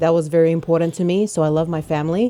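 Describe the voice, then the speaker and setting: A woman with an Australian accent speaks at a fairly quick pace. Her pitch is fairly low and her intonation fairly even. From Australia, Melbourne. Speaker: rapper. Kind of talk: interview.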